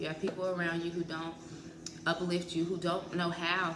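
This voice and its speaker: Audible room echo and noticeable background noise surround a woman who speaks at a moderate pace with fairly low pitch and monotone, flat intonation. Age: 30s. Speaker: psychology student and mental health vlogger. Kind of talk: casual vlog monologue. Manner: casual, hesitant with fillers.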